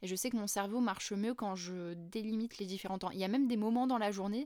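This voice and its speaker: At a fairly quick pace, a woman with a medium pitch and fairly even intonation speaks in an unremarkable speaking voice, on a very clean recording with a silent background. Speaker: facilitation trainer and podcaster. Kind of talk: solo educational podcast talk.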